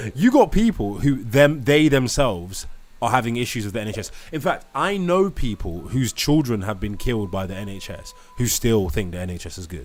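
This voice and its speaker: An animated man in a British accent, medium in pitch, at a fairly quick pace, with very wide pitch swings, big swings in loudness and noticeable background noise. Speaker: live stream host. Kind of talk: live stream debate.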